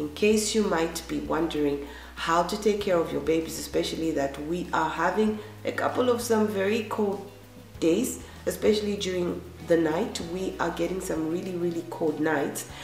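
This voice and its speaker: A woman at a fairly low pitch and moderate pace, with ordinary pitch variation, music in the background and audible room echo. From Zambia. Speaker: gardening vlogger. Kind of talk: tutorial.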